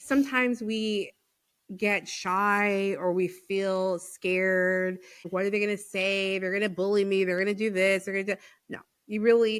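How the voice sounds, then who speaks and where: Animated in tone, a woman speaks at a medium pitch. The recording is very clean, with a silent background. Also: moderate pace. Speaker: podcast host. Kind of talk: casual chat. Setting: podcast interview. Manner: loud.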